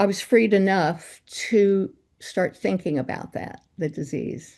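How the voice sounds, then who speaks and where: A woman speaks at a very slow pace with medium pitch, vocal fry and a dark, mellow tone. Her pitch variation is ordinary. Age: 80s+. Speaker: meditation group member. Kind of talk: group discussion sharing. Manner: halting.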